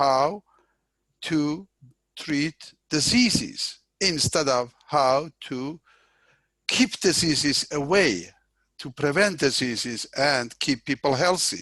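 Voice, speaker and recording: In a quiet background with a dry, close sound and no echo, a man with a non-native accent speaks very slowly with long, frequent pauses, his fairly high pitch, lively intonation and bright, sharp tone all clear. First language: not English. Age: 60s. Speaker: professor. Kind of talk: interview. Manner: halting.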